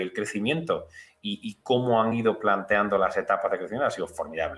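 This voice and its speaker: A man speaks in an Andalusian accent. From Andalusia, Spain. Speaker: financial analyst. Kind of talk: TV interview. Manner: clear.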